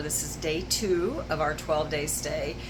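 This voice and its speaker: Noticeable background noise and audible room echo. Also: woman. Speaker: RV travel vlogger. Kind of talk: casual vlog home tour. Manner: fast.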